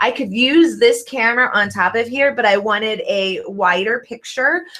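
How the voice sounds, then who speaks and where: A woman speaks in a plain, everyday voice at a fairly high pitch. Her pace is fairly slow. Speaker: online business video coach. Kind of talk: live stream tutorial. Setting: home video studio, live stream.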